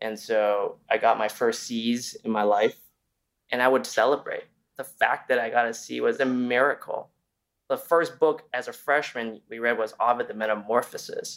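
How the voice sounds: A fairly bright tone with fairly even intonation at a moderate pace. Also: man, medium pitch for a man.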